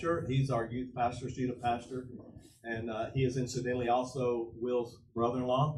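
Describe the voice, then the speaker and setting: At a fairly quick pace, a man talks with a medium pitch amid audible room echo. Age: 70s. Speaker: pastor. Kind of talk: panel discussion. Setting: church with audience.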